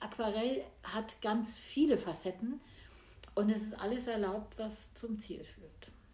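A woman's somewhat breathy, dark, mellow voice, fairly high in pitch with ordinary variation, at a fairly slow pace amid audible room echo. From small village in Germany. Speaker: painter and musician. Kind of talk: casual interview. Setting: artist's studio at home.

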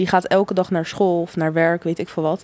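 Using a plain, everyday voice, a woman talks at a fairly quick pace with fairly even intonation. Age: 20s. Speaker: law student. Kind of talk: casual chat.

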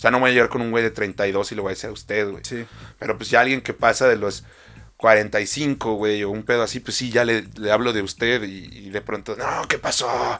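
A man with a Mexican accent talks at a moderate pace and a fairly low pitch, his tone bright and sharp. His intonation is monotone and flat, on a very clean recording with a silent background. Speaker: podcast co-host. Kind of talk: casual chat. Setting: studio.

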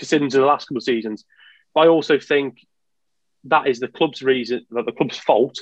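A man's fairly high voice at a moderate pace, a normal speaking voice with ordinary pitch variation and a dry, close sound with no echo. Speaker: Aston Villa fan guest. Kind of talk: casual chat about football.

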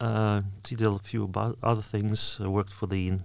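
A man in a Russian accent talks at a moderate pace with a fairly low pitch. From Russia, Orel region. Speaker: university lecturer. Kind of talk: interview.

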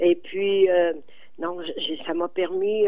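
A woman talks in a fairly low-pitched voice. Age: 80s+. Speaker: community volunteer. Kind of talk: radio interview.

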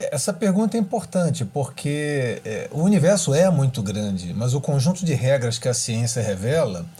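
With a dark, mellow tone, a man talks at a moderate pace in a fairly high, somewhat breathy voice whose pitch swings very widely. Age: 50s. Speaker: astrophysicist and professor. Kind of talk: interview, explanatory.

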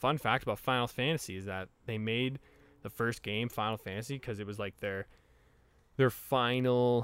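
A man's voice with ordinary pitch variation. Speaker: podcast co-host. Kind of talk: casual chat. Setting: outdoors.

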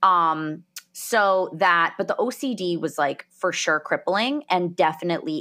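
The speaker is a woman with a New Jersey accent. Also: very clean recording, silent background. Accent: New Jersey American. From New Jersey, US. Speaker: podcast host. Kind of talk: interview, personal testimony.

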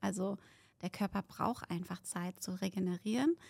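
Recorded very cleanly with a silent background and a dry, close sound with no echo, a woman speaks somewhat breathily at medium pitch and a fairly slow pace, with ordinary pitch variation. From Berlin, Germany. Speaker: fitness expert and author. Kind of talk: casual chat. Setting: studio.

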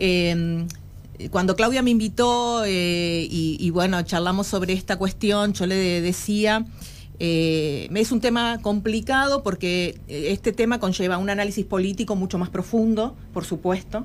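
A woman with a plain, everyday voice speaks at medium pitch with ordinary pitch variation. Her pace is fairly slow. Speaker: anti-discrimination official. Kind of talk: radio interview.

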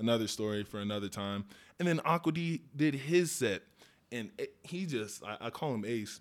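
A man with an American accent speaks at a moderate pace and medium pitch in an unremarkable speaking voice. His intonation is lively, and the recording is very clean with a silent background. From Denver, Colorado. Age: 20s. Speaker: DJ. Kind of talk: casual chat.

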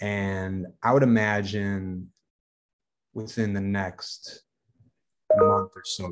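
In an American accent, a man with a fairly low pitch speaks at a very slow pace with monotone, flat intonation. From US Midwest, Racine, Wisconsin. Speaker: food brand founder. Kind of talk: podcast interview. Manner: casual, filler-heavy.

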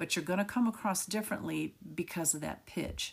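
Her voice is fairly low for a woman, with vocal fry and lively intonation. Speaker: podcast host on communication skills. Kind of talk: solo podcast monologue. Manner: animated.

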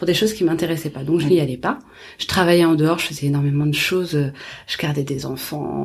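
Noticeable background noise sits behind a woman with a very deep, low pitch. She speaks at a very fast pace with ordinary pitch variation. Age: 20s. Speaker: chef and entrepreneur. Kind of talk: interview.

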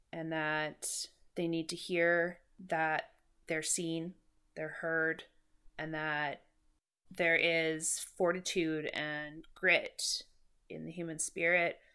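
A woman with a Canadian Prairie accent speaks at a very slow pace in a fairly low pitch, leaving long, frequent pauses. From Saskatchewan, Canada (Moose Jaw). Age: 30s. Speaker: podcast host and mental health peer support volunteer. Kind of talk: interview answers. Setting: in-person studio conversation.

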